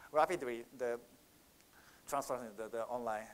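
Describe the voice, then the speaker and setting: A man with a Japanese accent and fairly even intonation. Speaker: market researcher. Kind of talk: conference Q&A answer. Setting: conference stage with audience. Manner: halting.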